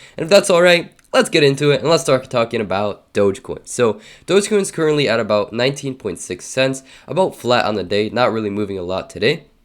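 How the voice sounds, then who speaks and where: Pitch swings very widely as a man with a medium pitch talks. He speaks at a very fast pace. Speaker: crypto YouTuber. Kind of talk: casual vlog commentary. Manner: hesitant, many fillers.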